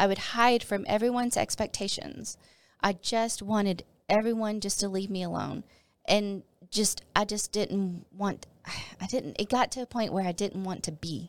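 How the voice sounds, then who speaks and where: With an American accent, a woman uses a normal speaking voice at medium pitch and fairly even intonation, recorded very cleanly against a silent background. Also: moderate pace. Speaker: former pastor's wife sharing her testimony. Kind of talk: testimony. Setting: studio.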